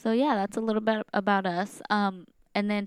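A woman speaks at a moderate pace in a medium pitch. The recording is very clean and dry, close-miked with no echo and a silent background. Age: 20s. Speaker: podcast host. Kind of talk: casual chat. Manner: nervous.

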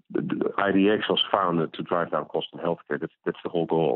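A man with a Dutch accent speaks at a very deep, low pitch. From Netherlands. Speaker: physician and company founder. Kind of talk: interview.

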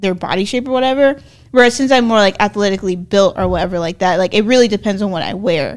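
A woman uses an ordinary speaking voice at a medium pitch, on a very clean recording with a silent background. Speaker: podcast co-host. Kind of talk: casual chat. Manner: playful, laughs often.

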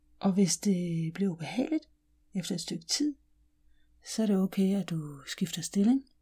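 A gentle, calm tone at a fairly slow pace, broken by long, frequent pauses. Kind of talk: guided meditation. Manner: slow, calm and soothing, with long pauses; soft-spoken, gentle and unhurried.

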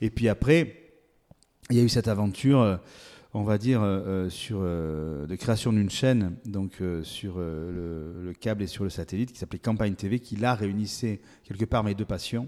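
A man's fairly low, dark and mellow voice with ordinary pitch variation, on a very clean recording with a silent background. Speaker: agricultural competition director, former TV presenter. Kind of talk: interview. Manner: halting, with frequent repetitions.

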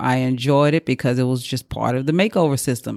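A woman with a Southern US accent at a fairly quick pace, ordinary pitch variation, dry and close sound with no echo. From Mississippi. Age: 40s. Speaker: podcast host, boudoir photographer. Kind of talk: casual monologue. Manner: rambling.

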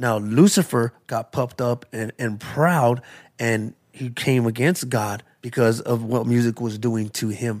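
An unremarkable speaking voice with an American accent goes at a fairly slow pace. Intonation is fairly even, and the recording is very clean with a silent background. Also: man, medium pitch for a man. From Tucson, Arizona (South Side). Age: 40s. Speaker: recovery testimony speaker. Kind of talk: testimony.

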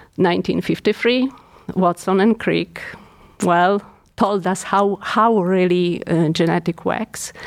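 A woman speaks at a very slow pace with a Polish accent, long, frequent pauses and very even loudness. Her medium pitch follows fairly even intonation on a very clean recording with a silent background. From Poland. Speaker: geriatric neuropsychiatrist. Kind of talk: professional interview.

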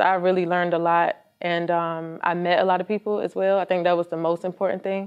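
A woman talks at a fairly quick pace with an American accent. She has a normal speaking voice with a fairly low pitch. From Virginia. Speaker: clothing brand owner. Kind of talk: interview.

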